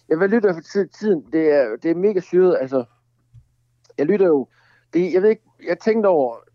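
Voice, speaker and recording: A high-pitched man with lively intonation, very even loudness, a moderate pace and long, frequent pauses. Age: 40s. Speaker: songwriter. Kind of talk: casual chat. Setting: phone call.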